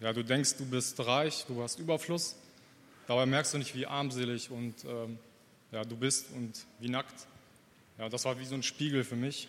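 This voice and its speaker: A man at medium pitch, fairly slow and fairly even, with long, frequent pauses. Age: 30s. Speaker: church member. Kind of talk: testimony. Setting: church service. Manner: halting.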